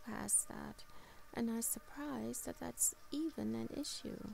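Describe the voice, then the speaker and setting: Noticeable background noise sits behind a woman. She speaks at a very slow pace in a soothing, gentle tone. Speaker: meditation guide and channel host. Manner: slow, soothing, gentle; calm and soft-spoken, with long pauses.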